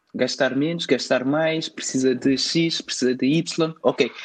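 A man speaks with fairly even intonation. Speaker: podcast co-host. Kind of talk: casual chat.

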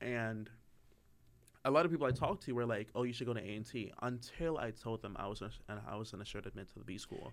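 A man with an American accent, very fast, with ordinary pitch variation. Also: medium pitch for a man. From Maryland, US, Nigerian family. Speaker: college student guest. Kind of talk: casual chat.

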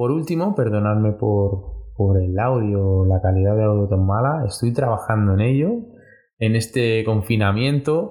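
A man's dark, mellow, somewhat breathy voice with very even loudness and ordinary pitch variation. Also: fairly low pitch for a man. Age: 20s. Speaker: personal trainer and sports nutritionist. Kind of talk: solo podcast monologue. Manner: halting, many repetitions and fillers. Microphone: poor audio quality.

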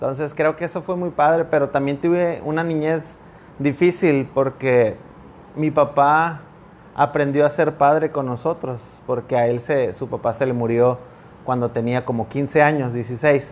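A man with a plain, everyday voice and a fairly high pitch for a man. He talks at a fairly slow pace with fairly even intonation. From northern Mexico (Sabinas, Coahuila). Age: 30s. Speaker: pastor. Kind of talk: casual interview chat. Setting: studio with cameras.

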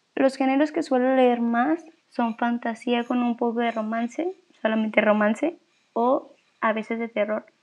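High female speech, fairly slow, its pitch varying in an ordinary way. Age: 20s. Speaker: student. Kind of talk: self-introduction.

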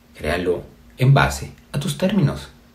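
The voice comes at a fairly slow pace, with audible room echo. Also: man. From Mexico, Yucatán. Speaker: spiritual speaker. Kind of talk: motivational spiritual talk. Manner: halting, many fillers and repetitions.

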